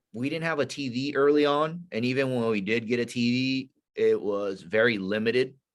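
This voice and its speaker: The man has a medium pitch with ordinary pitch variation. He talks at a moderate pace. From Northern California. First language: not English. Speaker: Navy SEAL veteran and leadership instructor. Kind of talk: podcast interview. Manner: casual, conversational.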